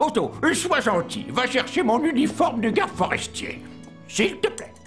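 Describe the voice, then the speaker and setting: A man does a cartoonish character voice at an extremely high pitch, talking at a moderate pace over clear music in the background. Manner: earnest, devoted to nature.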